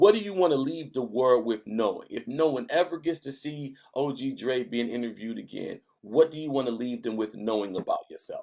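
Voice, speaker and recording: At a fairly quick pace, a man with an American accent speaks in a dark, mellow tone with big swings in loudness. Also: medium pitch for a man, lively intonation. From northern US. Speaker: podcast host. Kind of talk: interview.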